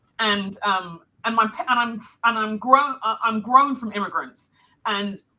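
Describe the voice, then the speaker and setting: A woman with a London accent speaks at a fairly slow pace with ordinary pitch variation. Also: fairly high pitch for a woman. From London, England (Nigerian heritage). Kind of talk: live interview.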